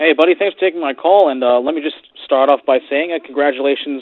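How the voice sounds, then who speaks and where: At a very fast pace, a man talks in a fairly high voice with ordinary pitch variation. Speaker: radio caller. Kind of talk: casual chat. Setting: phone call. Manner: halting.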